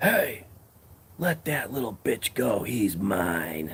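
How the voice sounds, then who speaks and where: Doing a put-on character voice, a man booms in a raspy tone at medium pitch and a very slow pace, his pitch swinging very widely. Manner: commanding, threatening.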